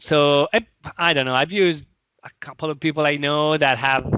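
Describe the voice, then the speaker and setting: At a moderate pace, a man with an Italian accent speaks at a fairly high pitch. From Italy. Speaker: software product manager and tech author. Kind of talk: casual interview chat. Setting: video call. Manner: halting, many repetitions.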